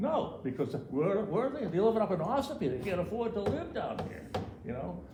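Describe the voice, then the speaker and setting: A man's high-pitched voice with very wide pitch swings at a fairly quick pace, audible room echo and noticeable background noise. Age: 70s. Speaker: local developer and tradesman. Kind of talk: public comment at town meeting. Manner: halting, many repetitions.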